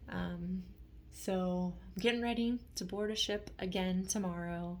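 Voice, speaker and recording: There is audible room echo as a woman speaks. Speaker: vlogger sharing chronic illness experience. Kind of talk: casual vlog monologue. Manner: halting, with fillers.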